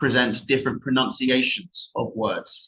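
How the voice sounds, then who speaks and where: A man speaks with a London accent. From southern England, just outside London. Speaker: IELTS trainer. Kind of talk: online class. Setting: live stream with chat. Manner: hesitant, many fillers and repetitions.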